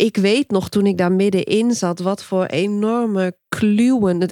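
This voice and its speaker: A woman's medium-pitched voice at a very slow pace, with very even loudness, fairly even intonation and a dry, close sound with no echo. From Friesland, Netherlands. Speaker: podcast host, book coach. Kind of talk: casual interview chat.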